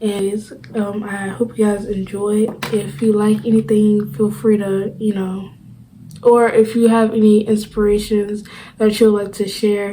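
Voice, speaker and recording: Amid audible room echo, a woman speaks fairly slowly with monotone, flat intonation. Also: medium pitch for a woman. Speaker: crochet YouTuber. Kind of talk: casual vlog. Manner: halting, with pauses; many fillers.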